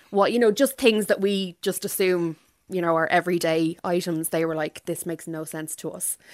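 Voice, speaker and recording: On a very clean recording with a silent background and a dry, close sound with no echo, a woman speaks at a moderate pace with a fairly low pitch and fairly even intonation. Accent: Irish. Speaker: novelist. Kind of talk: radio interview.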